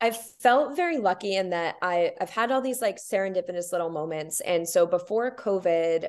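At a moderate pace, a woman speaks in a medium pitch with ordinary pitch variation and an upbeat, enthusiastic tone. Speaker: yoga instructor. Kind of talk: casual interview chat.

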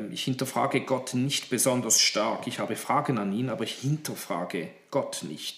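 With lively intonation and medium pitch, a man talks at a moderate pace against noticeable background noise. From Horn of Africa (Djibouti), Swiss missionary family. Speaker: pastor and theology lecturer. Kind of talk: interview. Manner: hesitant with fillers.

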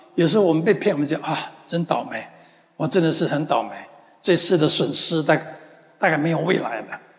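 A man talks at a fairly quick pace and fairly high pitch in an animated, gentle tone with ordinary pitch variation. Long, frequent pauses break it up over noticeable background noise. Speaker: pastor. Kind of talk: sermon. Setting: church; church with congregation in the US. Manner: earnest, repetitive, affirming declarations.

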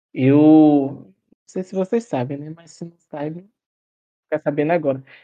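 The speaker keeps a moderate pace and fairly even intonation. It is an ordinary speaking voice. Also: man. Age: 20s. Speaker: photographer and podcaster. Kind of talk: casual interview.

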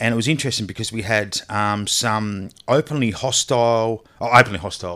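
A man speaks with an Australian accent. His pitch is medium and his pace moderate. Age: 40s. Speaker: charity founder, former police officer. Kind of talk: casual interview chat. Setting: remote call.

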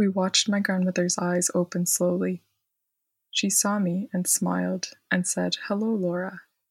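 The voice is somewhat breathy and delivered in a flat monotone. The very clean recording sounds dry and close, with no echo and a silent background. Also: woman, medium pitch for a woman, fairly slow pace. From Quebec, Montreal. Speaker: historian and storyteller. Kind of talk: reading aloud of personal story.

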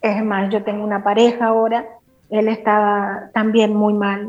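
Her voice is fairly high in pitch. She delivers her words at a moderate speed. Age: 50s. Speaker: guest giving a faith testimony. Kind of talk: testimony.

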